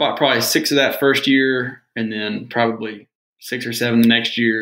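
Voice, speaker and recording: With an American accent, a man talks at a fairly quick pace in an unremarkable speaking voice, his intonation fairly even. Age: 20s. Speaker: real estate investor. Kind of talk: casual chat.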